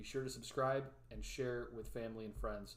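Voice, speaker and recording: A man with a Midwestern accent, plus audible room echo. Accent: Midwest. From Chicago area, US Midwest. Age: 20s. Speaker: weather YouTuber, forecaster. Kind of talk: live stream forecast discussion. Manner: casual, filler words.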